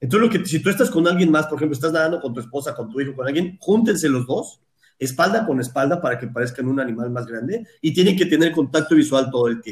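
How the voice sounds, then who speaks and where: A very fast-talking man with a fairly high pitch, lively intonation and a somewhat breathy voice. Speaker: shark researcher. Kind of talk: interview.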